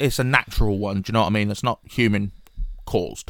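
Here a man speaks with a British accent. The recording is very clean and the background silent. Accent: British, regional. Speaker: podcast host. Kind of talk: casual banter. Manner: casual, swears often.

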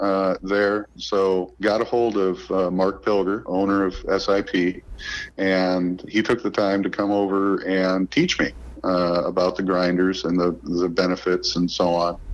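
Noticeable background noise sits behind a man with a very deep, low pitch. He speaks in a monotone with flat intonation and very even loudness. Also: fairly slow pace. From central Illinois. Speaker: golf course equipment manager. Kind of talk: interview.

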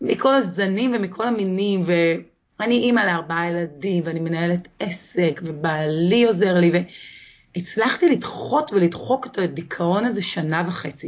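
With a plain, everyday voice, a woman speaks fairly slowly in a fairly low pitch, her intonation lively. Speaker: author. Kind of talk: interview.

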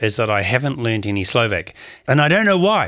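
A man speaks with a New Zealand accent. The recording is very clean, with a silent background. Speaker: adventurer and skydiver. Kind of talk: casual interview. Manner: halting, many fillers.

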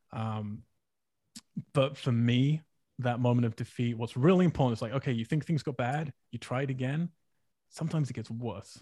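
A man's medium-pitched, somewhat breathy voice with a dark, mellow tone, at a moderate pace with ordinary pitch variation and long, frequent pauses. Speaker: film writer and director. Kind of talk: casual interview conversation.

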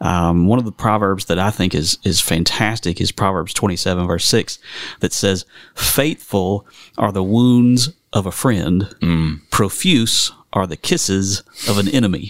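A man with a Southern US accent speaks at a fairly slow pace in a fairly low voice with ordinary pitch variation, recorded very cleanly against a silent background with a dry, close sound and no echo. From western North Carolina. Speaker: minister. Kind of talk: casual chat.

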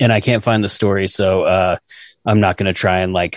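Against a quiet background, a man with an American accent speaks in a very deep, low pitch and monotone, flat intonation, the sound dry and close with no echo. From Utah. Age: 40s. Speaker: podcast co-host. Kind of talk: casual chat.

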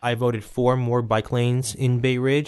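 Speaking with an American accent, a man talks at a fairly quick pace. He has an ordinary speaking voice at a medium pitch. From Brooklyn, New York. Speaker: political candidate. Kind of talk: interview. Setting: studio.

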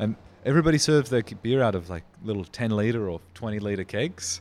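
Over a silent background in a very clean recording, the speech moves at a fairly quick pace. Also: man. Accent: Australian. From Australia, Riverland (South Australia). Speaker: brewery founder. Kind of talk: casual interview.

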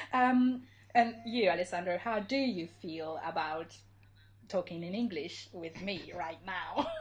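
This woman talks fairly slowly with lively intonation at a medium pitch. There is noticeable background noise. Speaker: podcast co-host. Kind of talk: casual chat. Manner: hesitant, with filler words.

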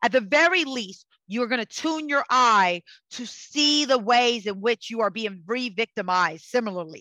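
Heard in a very clean recording with a silent background and a dry, close sound with no echo, a woman with a fairly high pitch speaks in a passionate, bright, sharp tone with lively intonation. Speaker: psychic and energy healer. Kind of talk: casual interview conversation. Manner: loud; passionate, fiery.

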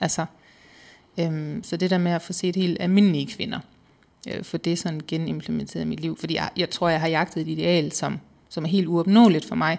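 A woman's plain, everyday voice, fairly low in pitch, with fairly even intonation at a moderate pace, on a very clean recording with a silent background. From Southern Jutland, Denmark. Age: 30s. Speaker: weight-loss interviewee. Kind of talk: personal testimony interview.

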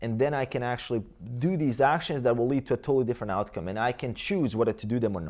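Speaking with a Croatian accent, a man talks at a fairly quick pace with medium pitch and lively intonation. The background is quiet. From Bosnia and Herzegovina. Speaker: fitness coach and YouTuber. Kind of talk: interview conversation.

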